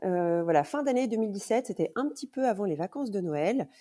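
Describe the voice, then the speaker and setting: In a very clean recording with a silent background, a woman with a dark, mellow tone speaks at a medium pitch that swings very widely. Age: 40s. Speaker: mother of a child with coeliac disease. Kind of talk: casual interview.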